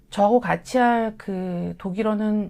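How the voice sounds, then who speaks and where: Dark, mellow tones from a woman, captured in a very clean recording against a silent background. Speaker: German language lecturer. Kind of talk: course information session.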